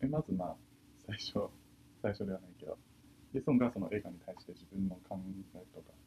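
A man with a fairly low, dark and mellow voice talks at a fairly quick pace, somewhat breathy, with lively intonation. His loudness swings widely, and he leaves long, frequent pauses. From China. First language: Chinese (speaking Japanese). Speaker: university student. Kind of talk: casual discussion.

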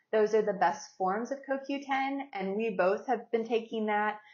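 An unremarkable speaking voice belongs to this woman. She talks at a fairly slow pace with ordinary pitch variation. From West Virginia. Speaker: podcast co-host. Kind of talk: casual chat.

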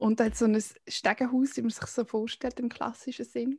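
With fairly even intonation, the woman keeps to a moderate pace. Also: dry, close sound with no echo. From Switzerland, canton Aargau. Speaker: podcast co-host. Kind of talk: casual chat.

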